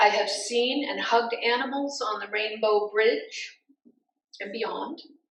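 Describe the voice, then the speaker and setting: Audible room echo follows a woman as she talks very slowly. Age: 70s. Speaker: pastor. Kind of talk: sermon.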